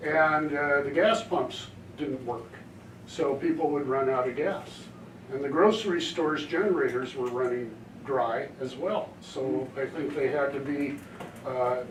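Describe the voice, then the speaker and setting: Audible room echo and noticeable background noise surround a man with a fairly high pitch. He speaks at a fairly slow pace with ordinary pitch variation. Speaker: disaster preparedness volunteer presenter. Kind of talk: community presentation.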